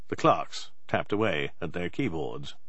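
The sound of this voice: At a fairly slow pace, a man talks with lively intonation and a low pitch for a man.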